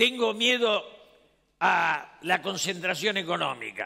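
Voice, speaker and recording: Very slow pace and a bright, sharp tone. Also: man. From Argentina. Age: 70s. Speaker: former politician and panel speaker. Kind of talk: conference speech. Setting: stage with audience.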